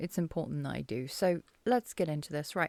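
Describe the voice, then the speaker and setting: Quiet and with a British accent, a woman is heard in a dry, close sound with no echo on a very clean recording with a silent background. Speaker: political commentary vlogger. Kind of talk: casual vlog commentary. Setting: dark room at home at night. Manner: quiet, subdued.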